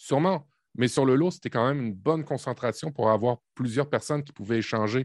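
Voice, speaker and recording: Against a quiet background, a man at a medium pitch speaks at a fairly quick pace with ordinary pitch variation, and the sound is dry and close with no echo. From Quebec, Canada (born in Normandy). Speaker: tech podcast co-host, team manager. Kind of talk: casual chat. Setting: video call.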